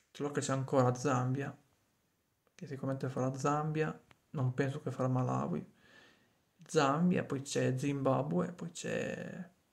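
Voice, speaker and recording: The voice is somewhat breathy, with fairly even intonation and a very slow pace full of long, frequent pauses. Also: man. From Piedmont, Cuneo province; Piedmont. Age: 30s. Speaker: vlogger. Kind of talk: casual monologue to a friend; casual vlog chat. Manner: halting, with frequent repetitions. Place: home room. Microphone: phone near.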